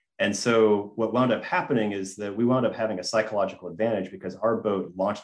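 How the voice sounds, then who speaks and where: Speaking fairly quickly in an American accent, a man has a fairly low pitch and ordinary pitch variation. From US South, Gainesville, Georgia. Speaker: design firm founder. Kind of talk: interview. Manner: halting.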